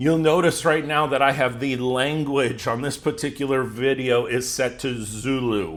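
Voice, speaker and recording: A man with an American accent talks in a plain, everyday voice. He keeps a moderate pace with ordinary pitch variation. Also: medium pitch for a man. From United States. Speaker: YouTube growth coach. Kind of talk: tutorial.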